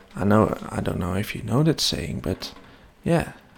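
Vocal fry marks this man's delivery, and his pitch swings very widely. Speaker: web development podcaster. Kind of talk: solo podcast monologue. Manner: hesitant, many fillers.

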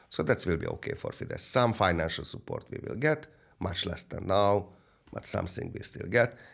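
Fairly quick, lively male speech with a Hungarian accent, recorded very cleanly against a silent background. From Hungary. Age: 60s. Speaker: businessman. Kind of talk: interview. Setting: studio. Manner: halting.

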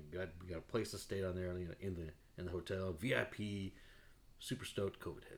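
Somewhat breathy and very deep and low, a man's voice holds fairly even intonation. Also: fairly quick pace. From Mexican heritage. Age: 40s. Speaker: podcast host. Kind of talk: casual chat.

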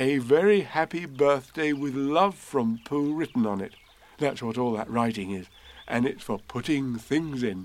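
What we hear is plain reading aloud.

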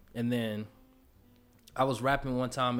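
With music in the background, a man speaks at a moderate pace and medium pitch in a monotone, flat intonation. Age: 20s. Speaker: rapper. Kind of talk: casual chat.

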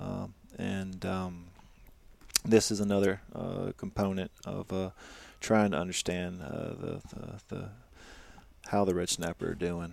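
With a very deep, low voice, a man speaks at a fairly slow pace in a monotone, flat intonation, leaving long, frequent pauses. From Louisiana. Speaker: fisheries biologist. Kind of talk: casual interview. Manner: hesitant, many fillers.

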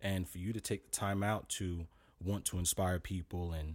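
With a New York accent, a man of very deep, low pitch speaks at a moderate pace and fairly even intonation on a very clean recording with a silent background. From Brooklyn, New York (East Flatbush). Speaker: fitness trainer. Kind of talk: interview.

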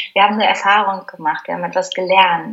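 Using an ordinary speaking voice, a woman talks at a fairly quick pace and medium pitch with fairly even intonation. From Germany. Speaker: spiritual mentor. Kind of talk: interview conversation.

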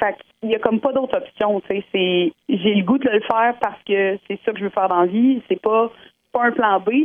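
A woman with a Quebec accent speaks at a moderate pace with a fairly high pitch and ordinary pitch variation. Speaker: singing contest candidate. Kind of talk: phone interview. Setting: phone call.

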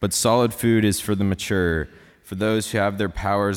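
A man with an American accent speaks at a moderate pace in a plain, everyday voice. The recording is very clean, with a silent background. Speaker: college student scripture reader. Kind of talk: scripture reading. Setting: church.

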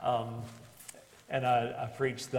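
Over noticeable background noise and audible room echo, a man with an American accent talks in a flat monotone at a medium pitch. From West Virginia, Beckley. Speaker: pastor. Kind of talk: interview before a live group.

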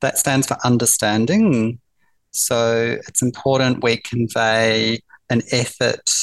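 With a New Zealand accent, a man speaks at a very slow pace with monotone, flat intonation and very even loudness over a quiet background. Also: medium pitch for a man. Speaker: palliative care nurse. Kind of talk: interview.

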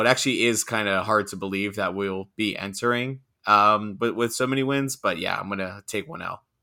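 On a very clean recording with a silent background, a man with an American accent speaks at a fairly quick pace with hardly any pauses, his fairly low voice bright and sharp in tone and his intonation fairly even. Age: 30s. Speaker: podcast co-host. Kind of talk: casual chat.

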